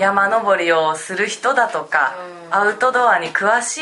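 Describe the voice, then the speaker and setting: At a fairly slow pace, a woman with a medium-pitched voice talks over noticeable background noise. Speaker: podcast co-host. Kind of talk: casual chat. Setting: on location in a city.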